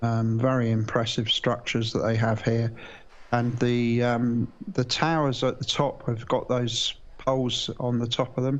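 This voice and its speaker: Against a quiet background, a man with a British accent talks fairly slowly at a medium pitch, in a monotone, flat intonation with very even loudness. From UK. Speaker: live stream launch commentator. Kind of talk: live commentary. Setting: live stream, remote commentary. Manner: hesitant, many fillers.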